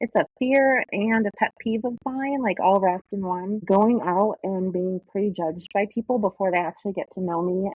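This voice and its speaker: Speaking at a moderate pace with hardly any pauses, a woman uses a plain, everyday voice at a medium pitch with ordinary pitch variation. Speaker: military veteran, podcast co-host. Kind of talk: casual chat.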